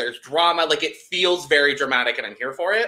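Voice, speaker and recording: The background is silent around him. This man's tone comes across as bright and sharp. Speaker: podcast co-host. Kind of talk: casual podcast chat. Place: home room.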